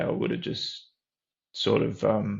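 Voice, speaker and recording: Over a quiet background, a man with an Australian accent talks with vocal fry. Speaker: program member sharing recovery story. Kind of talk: testimony. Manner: halting.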